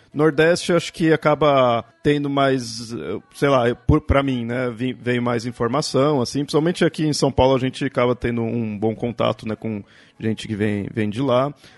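In an ordinary speaking voice, a man talks at a moderate pace with ordinary pitch variation, the sound dry and close with no echo. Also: medium pitch for a man. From Brazil, Southeast. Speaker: podcast host. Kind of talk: casual chat.

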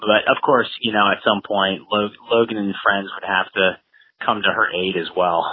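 A man with an American accent talks at a fairly slow pace with hardly any pauses, his pitch fairly low. His intonation is fairly even, an unremarkable speaking voice. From US Midwest, Cincinnati, Ohio. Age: 40s. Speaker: thriller author, former Marine officer. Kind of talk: interview.

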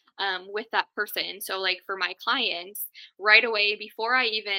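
A woman with a Minnesota accent speaks at a fairly high pitch. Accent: Upper Midwest (Minnesota) American. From Duluth, Minnesota, US Upper Midwest. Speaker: tech virtual assistant, business owner. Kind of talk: casual chat.

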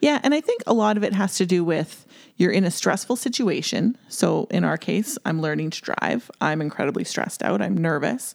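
A woman's pitch swings very widely. Vocal fry runs through her speech. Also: medium pitch for a woman, moderate pace. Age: 40s. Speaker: podcast co-host. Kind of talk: casual chat.

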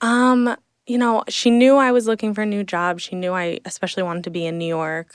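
Against a silent background on a very clean recording, a woman with an American accent talks at a fairly quick pace in a normal speaking voice of medium pitch with ordinary pitch variation. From central New Jersey, Hunterdon County. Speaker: social media coordinator. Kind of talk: casual interview. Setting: studio, in person.

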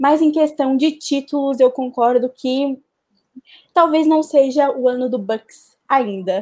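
Speaking very slowly, a woman uses a high pitch with ordinary variation. Her tone is dark and mellow. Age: 20s. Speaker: basketball columnist. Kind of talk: casual chat.

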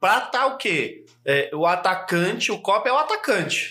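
Projecting his raised voice over noticeable background noise, a man with a high pitch uses lively intonation at a fairly slow pace. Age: 40s. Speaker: podcast host and copywriting trainer. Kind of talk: casual interview chat.

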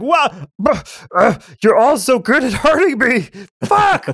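In a put-on character voice, a man speaks fairly slowly at an extremely high pitch. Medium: actual play. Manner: crude, blunt, simple speech.

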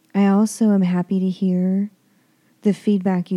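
A woman speaks at a medium pitch in a dark, mellow tone. Her pace is fairly slow, and the sound is dry and close with no echo. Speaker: podcast host. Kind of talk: casual podcast intro.

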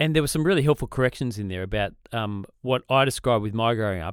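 In an Australian accent, the speaker races along at a very fast pace with lively intonation, the sound dry and close with no echo and the recording very clean against a silent background. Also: man. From Australia, south of Sydney. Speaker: podcast co-host, ministry leader. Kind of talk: casual chat.

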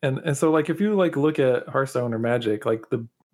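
A man with an unremarkable speaking voice talks at medium pitch and a moderate pace. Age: 30s. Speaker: card game player and QA engineer. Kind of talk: casual chat.

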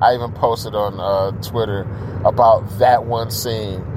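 There is noticeable background noise behind this man. He talks at a fairly slow pace with a medium pitch. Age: 50s. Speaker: podcast host. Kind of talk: casual monologue. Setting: in a car. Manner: hesitant, many fillers.

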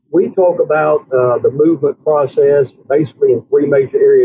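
A man speaks in a fairly high pitch with a somewhat breathy voice. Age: 50s. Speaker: pastor. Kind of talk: interview.

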